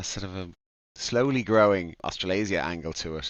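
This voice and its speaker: Moderate pace, an Irish accent and ordinary pitch variation. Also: man. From Ireland, Dublin. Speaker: DJ and events organizer. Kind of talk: podcast interview. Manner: halting, many fillers.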